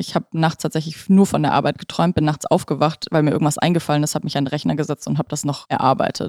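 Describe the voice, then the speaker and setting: A woman with a very deep, low pitch talks at a very fast pace, and the sound is dry and close with no echo. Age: 20s. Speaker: stress management coach. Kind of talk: podcast interview.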